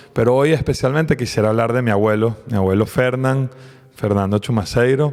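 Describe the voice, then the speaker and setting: At a fairly quick pace, a man with a Caracas Venezuelan accent speaks at medium pitch with ordinary pitch variation and very even loudness. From Venezuela, raised in Caracas. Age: 40s. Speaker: podcast co-host, politician. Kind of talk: casual conversation.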